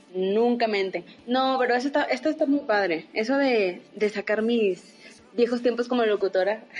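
A woman with a normal speaking voice, fairly high pitch, ordinary pitch variation, a moderate pace and very even loudness. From Saltillo, northern Mexico. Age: 20s. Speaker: podcast co-host, former radio announcer. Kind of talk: casual chat.

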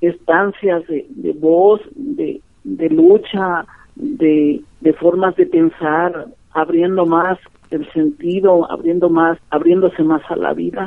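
With lively intonation, a woman in a normal speaking voice talks at a fairly low pitch. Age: 50s. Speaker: community radio broadcaster. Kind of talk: interview. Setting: phone call.

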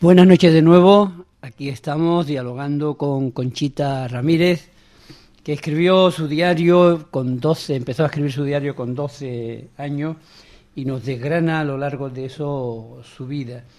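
A man's fairly high voice with a dark, mellow tone, big swings in loudness and a fairly slow pace. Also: ordinary pitch variation. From Cádiz, Andalusia. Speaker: radio host. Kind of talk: radio interview. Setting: radio studio.

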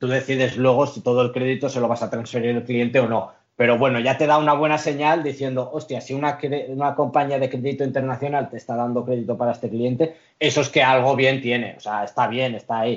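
A man talks at a very fast pace with hardly any pauses. His pitch is medium and his intonation is monotone and flat. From Spain, Catalonia (Lloret de Mar). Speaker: international trade professional. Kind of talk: interview.

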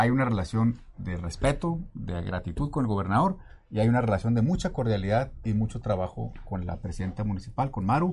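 A somewhat breathy, fairly low male voice with lively intonation, a fairly quick pace and hardly any pauses. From Mexico City. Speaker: water utility director and politician. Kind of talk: interview.

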